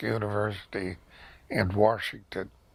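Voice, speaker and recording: A man speaks with an American accent and noticeable vocal fry. His pitch sits fairly low. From Pennsylvania. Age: 80s+. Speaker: retired museum director and archaeologist. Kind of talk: oral history interview. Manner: halting, many fillers.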